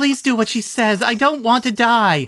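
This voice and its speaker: A man performs a put-on character voice at an extremely high pitch. He keeps a moderate pace and very even loudness. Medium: read story. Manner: low, irritated.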